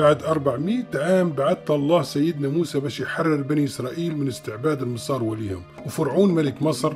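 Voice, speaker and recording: A man talks at a moderate pace in a fairly high pitch with ordinary pitch variation while music plays in the background. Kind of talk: religious story narration.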